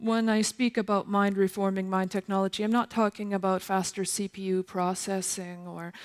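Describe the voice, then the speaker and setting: Her intonation is flat and monotone. The woman's pitch sits in the medium range. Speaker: multidisciplinary composer and new media artist. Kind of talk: lecture performance. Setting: stage with audience. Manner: slow.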